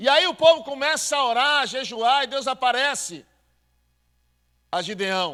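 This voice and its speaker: Speaking at a fairly slow pace with long, frequent pauses, a man uses an extremely high, raised and projected voice, its tone bright, sharp and animated and its intonation lively. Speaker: pastor. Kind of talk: sermon.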